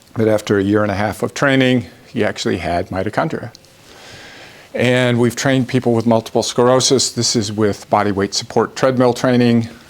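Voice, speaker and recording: Over noticeable background noise, a man talks at a fairly quick pace and medium pitch, with very even loudness and fairly even intonation. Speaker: professor. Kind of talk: lecture. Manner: fast.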